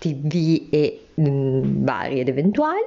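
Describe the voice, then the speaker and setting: Noticeable background noise behind a woman with a very deep, low pitch. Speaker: podcast host, former advertising professional. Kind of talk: casual spoken diary. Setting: at home during lockdown. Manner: hesitant, with fillers.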